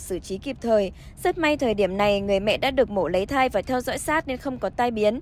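This woman has an unremarkable speaking voice, fairly high in pitch, with lively intonation. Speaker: news reader. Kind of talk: news reading. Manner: formal.

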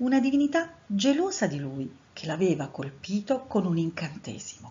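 A somewhat breathy woman at medium pitch, fairly slow, with very wide pitch swings. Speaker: storyteller. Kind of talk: reading aloud.

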